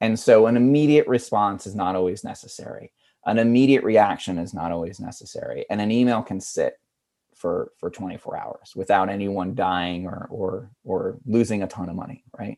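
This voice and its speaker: The voice has a dark, mellow tone and an American accent, with ordinary pitch variation. It moves at a moderate pace, with big swings in loudness. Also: man, fairly low pitch for a man. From rural Pennsylvania. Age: 40s. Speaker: digital communications director. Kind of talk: interview. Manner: casual, filler-heavy.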